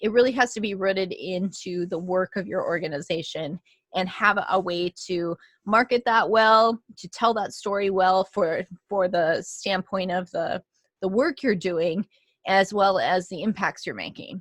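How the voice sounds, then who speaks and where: An ordinary speaking voice comes through dry and close with no echo over a quiet background, at a fairly slow pace with fairly even intonation. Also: woman, medium pitch for a woman. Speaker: podcast host, consultant. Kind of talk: solo educational talk. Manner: many filler ums.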